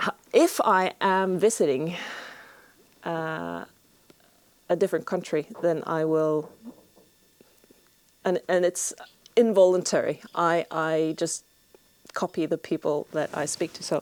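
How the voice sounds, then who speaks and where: The sound is dry and close with no echo as a woman speaks with a fairly low pitch and long, frequent pauses. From Norway. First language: Norwegian. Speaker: homesteader and video blogger. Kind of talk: Q&A monologue to camera. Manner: hesitant, many fillers.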